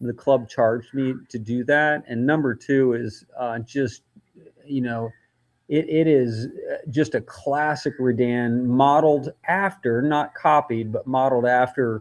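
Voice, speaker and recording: Over a quiet background, a man with a normal speaking voice talks at a medium pitch with ordinary pitch variation. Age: 60s. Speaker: golf course architect. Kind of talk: casual chat.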